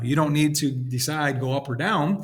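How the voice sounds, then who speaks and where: A man's fairly high-pitched voice. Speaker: statistics teacher. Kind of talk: lecture. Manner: fast.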